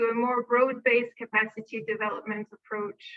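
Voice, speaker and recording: A woman's high-pitched voice with a non-native accent, a moderate pace and monotone, flat intonation. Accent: Francophone English. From France. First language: French. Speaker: arms control program manager. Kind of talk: conference presentation.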